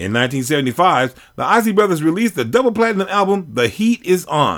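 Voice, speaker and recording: A man's high-pitched, upbeat, warm voice at a fairly quick pace with very wide pitch swings, on a very clean recording with a silent background. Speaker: radio host. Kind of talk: radio DJ patter, music history narration between tracks. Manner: upbeat, warm, energetic DJ delivery.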